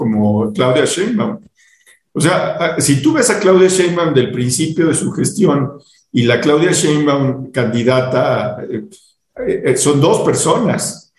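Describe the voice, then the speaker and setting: Using lively intonation, a man speaks at a very slow pace in a fairly high voice. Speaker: podcast host. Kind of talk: casual chat. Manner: halting.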